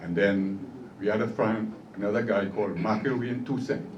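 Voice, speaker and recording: A man with a fairly low voice talks at a fairly slow pace, with audible room echo. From Trinidad and Tobago. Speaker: steelpan pioneer and honoree. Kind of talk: award acceptance speech.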